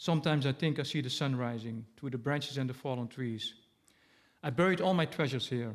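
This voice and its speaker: A man's very fast speech, medium in pitch, with ordinary pitch variation and a slight Dutch accent, on a very clean recording with a silent background. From Netherlands. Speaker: poet. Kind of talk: poetry reading. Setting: stage with audience. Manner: halting.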